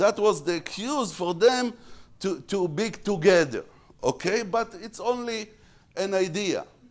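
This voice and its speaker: Against a quiet background, a man with an Israeli accent talks at a high pitch and fairly slow pace. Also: lively intonation. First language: Hebrew. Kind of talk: lecture. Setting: stage with audience. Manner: halting, frequent repetitions.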